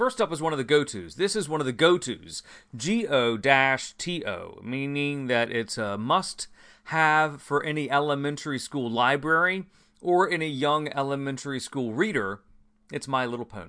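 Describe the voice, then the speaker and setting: Bright and sharp in tone, a man's fairly high voice moves with lively intonation. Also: moderate pace, quiet background. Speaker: podcast host reviewing comic books. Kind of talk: casual podcast monologue. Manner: animated.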